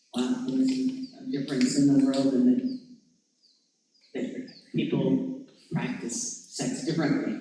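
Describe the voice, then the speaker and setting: The man's pitch makes very wide swings. Audible room echo surrounds his voice. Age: 70s. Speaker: discussion group participant, former teacher. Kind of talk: personal sharing in discussion. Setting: church discussion group.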